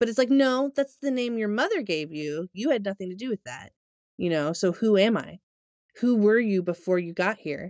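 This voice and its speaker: A woman speaks at a moderate pace with a medium pitch. Her voice makes very wide pitch swings. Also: dry, close sound with no echo. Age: 40s. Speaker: podcast co-host. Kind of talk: casual chat.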